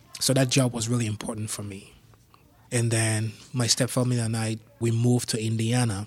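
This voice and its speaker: On a very clean recording with a silent background, a man speaks at a fairly quick pace in a monotone, flat way, his medium-pitched voice somewhat breathy. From Cameroon (anglophone region, Yaoundé). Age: 30s. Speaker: surgical technologist. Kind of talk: interview storytelling.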